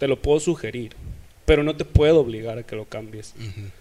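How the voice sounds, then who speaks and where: Using a plain, everyday voice, a man speaks fairly quickly. His fairly high pitch varies in an ordinary way. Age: 20s. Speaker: church youth leader. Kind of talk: casual interview.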